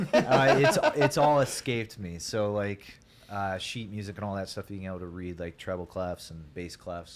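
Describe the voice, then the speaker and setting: Noticeable background noise accompanies this recording. A man with an American accent speaks in a very deep, low pitch. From US Midwest, Ohio (Grandview, Hilliard). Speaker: musician, singer. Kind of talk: casual chat.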